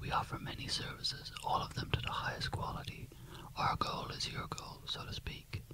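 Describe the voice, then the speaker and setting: Whispering at a moderate pace, a man uses a soothing tone over noticeable background noise. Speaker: gym personal trainer character in roleplay. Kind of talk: ASMR roleplay, gym tour. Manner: whispered, soothing.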